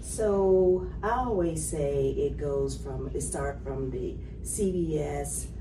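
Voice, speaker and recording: Speech comes at a very slow pace over noticeable background noise, with audible echo from the room. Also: woman. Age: 60s. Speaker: political candidate. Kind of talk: candidate interview.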